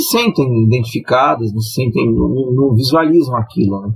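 Lively in intonation, a man speaks in an unremarkable speaking voice at medium pitch and a moderate pace. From São Paulo city (west zone). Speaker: sports commentator. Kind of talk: casual chat.

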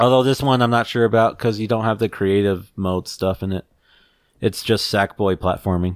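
A man with an unremarkable speaking voice, fairly low in pitch, fairly even intonation at a moderate pace, in a very clean, silent recording with a dry, close sound and no echo. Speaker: podcast host. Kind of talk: casual chat.

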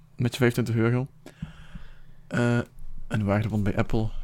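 A man speaks at fairly low pitch with a slightly mellow tone. His intonation stays fairly even at a moderate pace.

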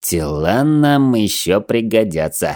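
Using a put-on character voice, a man speaks at a medium pitch and a fairly slow pace with very wide pitch swings. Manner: menacing, sinister.

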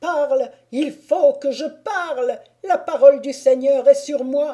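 A put-on character voice, high-pitched, at a fairly slow pace. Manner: crying out at full force.

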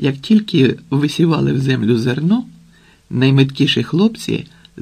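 The voice reads aloud naturally, its intonation lively.

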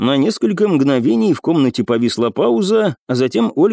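Someone does some plain reading aloud here.

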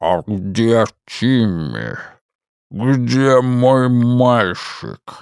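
A man uses a put-on character voice at a medium pitch. He speaks very slowly, with long, frequent pauses.

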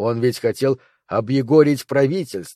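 Against a quiet background, someone reads in an unforced reading voice with ordinary pitch variation.

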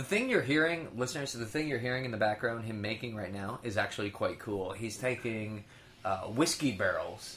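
A man with a normal speaking voice talks at a fairly quick pace, at a medium pitch with ordinary pitch variation. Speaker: podcast co-host. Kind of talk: casual banter between co-hosts. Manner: joking, talkative.

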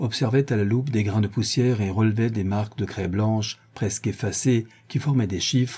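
The text is read aloud. It is done in a natural voice.

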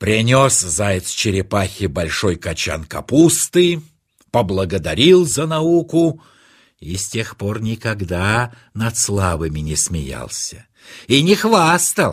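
On a very clean recording with a silent background, a man talks slowly at a fairly low pitch, his voice making big pitch swings.

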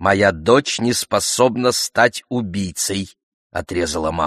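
The delivery is a natural reading voice. The background is quiet.

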